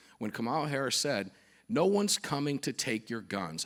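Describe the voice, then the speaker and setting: Very wide pitch swings from a man, very clean recording, silent background. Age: 60s. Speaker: radio host and conference emcee. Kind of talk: onstage interview.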